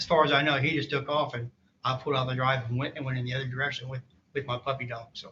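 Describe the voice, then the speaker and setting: A man speaks very fast with a Southern US accent. His medium-pitched voice stays monotone and flat. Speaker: court witness, army veteran. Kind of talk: court testimony. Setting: courtroom. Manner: halting.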